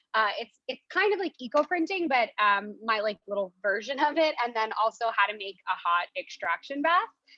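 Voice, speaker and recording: A woman with an American accent speaks at a moderate pace with a fairly high pitch, lively intonation and a bright, sharp tone. The sound is dry and close, with no echo. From New York. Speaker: natural dyer leading a demo. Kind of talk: tutorial. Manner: casual, many fillers.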